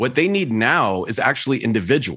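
A man with an American accent, a normal speaking voice, medium pitch, lively intonation and a moderate pace. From Texas. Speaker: IT support entrepreneur and software founder. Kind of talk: casual interview.

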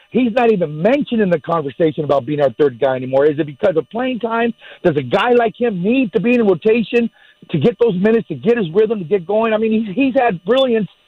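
Very fast speech in an American accent swings very widely in pitch. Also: man, high pitch for a man. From Long Beach, California. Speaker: radio caller, sports fan. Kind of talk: call-in. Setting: phone call.

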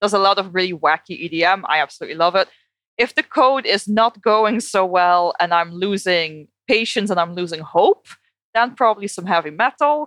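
A woman speaks with a Dutch accent. Her intonation is lively. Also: medium pitch for a woman, moderate pace. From Netherlands. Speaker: behavioral scientist. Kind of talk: interview.

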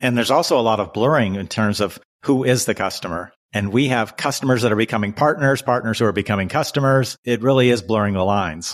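Captured on a very clean recording with a silent background, an ordinary speaking voice shows ordinary pitch variation. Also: man, medium pitch for a man. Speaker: podcast host. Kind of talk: interview.

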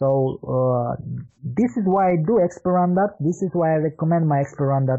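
A man with a Romanian accent at a moderate pace and very even loudness. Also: fairly high pitch for a man, ordinary pitch variation. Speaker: marketing consultant. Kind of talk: interview.

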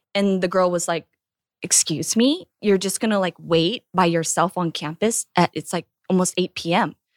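A woman speaks at a moderate pace in an ordinary speaking voice. Her medium pitch stays fairly even in intonation. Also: dry, close sound with no echo. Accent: General American. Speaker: actress. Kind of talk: casual chat.

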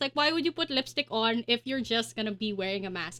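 In a dry, close recording with no echo, a woman speaks in a raised, projected voice. Her tone is bright and sharp, and her pitch swings very widely. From Philippines, Pasig. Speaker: news podcast host. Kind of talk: casual news discussion.

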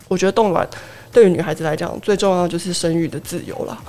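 A woman talks at a fairly quick pace in a medium pitch. It is a plain, everyday voice. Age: 30s. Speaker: pharmacist. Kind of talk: casual chat, personal experience.

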